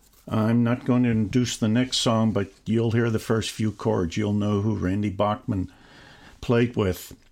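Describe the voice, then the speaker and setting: Speaking at a fairly slow pace with long, frequent pauses, a man keeps a medium pitch and fairly even intonation. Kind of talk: community radio DJ patter: station ID, show intro, story-telling between songs. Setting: radio studio broadcast, songs playing in background. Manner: plain, conversational, slightly halting with filler 'uh' and self-corrections.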